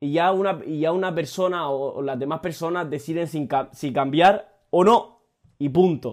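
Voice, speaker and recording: The man talks at a fairly slow pace, his fairly high pitch showing ordinary pitch variation. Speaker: motivational podcaster. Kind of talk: motivational monologue. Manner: casual, frequent swearing.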